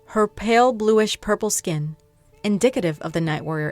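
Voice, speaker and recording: A woman talks at a moderate pace with ordinary pitch variation while music plays in the background. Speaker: fan fiction storyteller. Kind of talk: story narration.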